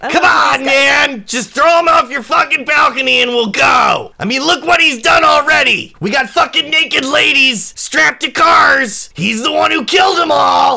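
A man shouting in a put-on character voice, extremely high in pitch, at a moderate pace. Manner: furious, shouting, profane.

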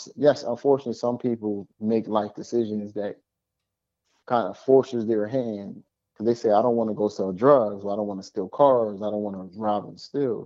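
Someone speaks at a moderate pace in a normal speaking voice, with an American accent. The intonation stays fairly even. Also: man, fairly low pitch for a man. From Philadelphia. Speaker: political commentator guest. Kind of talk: casual political discussion.

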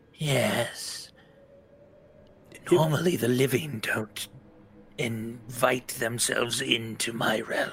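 A man's raspy, put-on character voice at a medium pitch, very slow, with long, frequent pauses. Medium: actual play. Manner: menacing, condescending.

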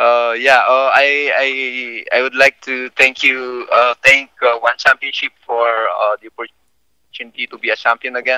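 Dry and close with no echo, a man's bright, sharp voice comes at a moderate pace in a Filipino accent, flat and monotone in intonation but with big swings in loudness. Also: medium pitch for a man. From Philippines. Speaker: MMA fighter. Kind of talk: casual interview. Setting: phone call. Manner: halting.

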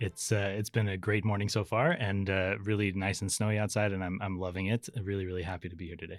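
Recorded very cleanly against a silent background, a man with a fairly low pitch talks at a very fast pace with hardly any pauses and monotone, flat intonation. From US, Las Vegas. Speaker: battery engineer. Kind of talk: casual interview. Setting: studio. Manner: halting, many fillers.

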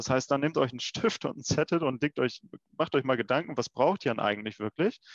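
Recorded dry and close with no echo, a man with a normal speaking voice talks at medium pitch and a fairly quick pace. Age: 20s. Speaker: insurance start-up founder. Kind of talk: casual interview.

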